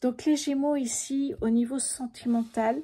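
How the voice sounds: A soft-spoken woman's fairly high, dark, mellow voice with a slightly husky edge, a fairly slow pace and ordinary pitch variation.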